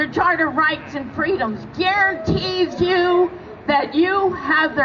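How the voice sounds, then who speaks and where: Over crowd noise, a woman with a high pitch speaks very slowly, her pitch varying in an ordinary way. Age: 80s+. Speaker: activist. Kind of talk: protest rally speech.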